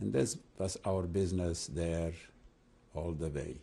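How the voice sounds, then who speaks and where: A man's very deep, low voice, dark and mellow, with vocal fry and ordinary pitch variation. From Transylvania, Romania. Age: 80s+. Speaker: rabbi and Holocaust survivor. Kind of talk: oral history interview. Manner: halting, with repetitions and fillers.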